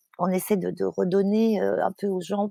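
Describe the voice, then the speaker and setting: Dark and mellow in tone, a woman speaks at a medium pitch, the sound dry and close with no echo on a very clean recording with a silent background. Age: 60s. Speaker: climate activist and fashion author. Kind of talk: interview. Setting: podcast. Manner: halting, many fillers and repetitions.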